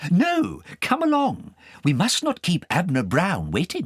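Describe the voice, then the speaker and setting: A man in a put-on character voice, pitched high for a man, at a fairly slow pace. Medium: read story. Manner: urging.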